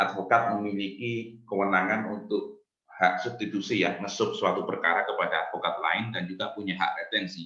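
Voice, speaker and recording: A fairly low-pitched man's voice with audible room echo. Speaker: university lecturer. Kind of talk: lecture. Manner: formal.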